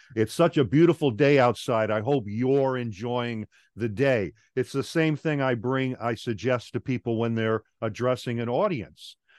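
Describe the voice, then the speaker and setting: With an American accent, a man talks at medium pitch with ordinary pitch variation, the sound dry and close with no echo against a quiet background. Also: moderate pace. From New York (Long Island). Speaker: professional speaker and trainer. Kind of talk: interview conversation.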